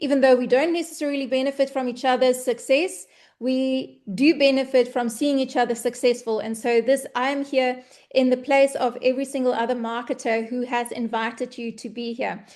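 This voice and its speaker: With a South African accent, a woman speaks at a high pitch and a moderate pace. Her intonation is fairly even over a quiet background. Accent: Afrikaans South African English. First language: Afrikaans. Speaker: online business presenter. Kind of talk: webinar presentation.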